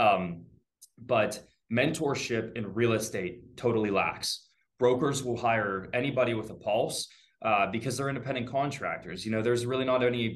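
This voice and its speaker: With an American accent, a man speaks at a moderate pace in an unremarkable speaking voice, medium in pitch with ordinary pitch variation. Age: 20s. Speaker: real estate agent. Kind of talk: casual interview. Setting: video call.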